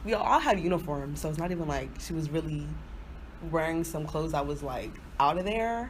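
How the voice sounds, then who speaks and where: A woman talks at a very fast pace in a fairly low, animated voice with vocal fry. Room echo is audible. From Nigerian family, grew up in US. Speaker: podcast co-host. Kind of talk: casual chat.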